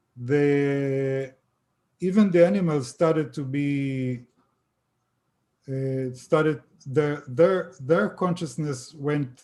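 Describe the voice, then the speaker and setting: Speaking very slowly with long, frequent pauses, a man with an Israeli accent has a fairly high pitch, ordinary pitch variation, and a dark, mellow tone. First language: Hebrew. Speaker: author on extraterrestrial contact. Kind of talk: interview. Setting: live stream video call. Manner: halting.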